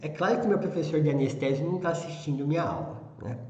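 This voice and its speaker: Both audible room echo and noticeable background noise surround a man's voice. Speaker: veterinary anesthesia teacher. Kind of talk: lecture. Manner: slow; calm.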